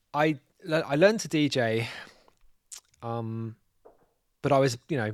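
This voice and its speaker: Recorded very cleanly against a silent background, with a dry, close sound and no echo, a man with a London accent speaks at a moderate pace and ordinary pitch variation. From North London. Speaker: DJ and label boss. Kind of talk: casual interview.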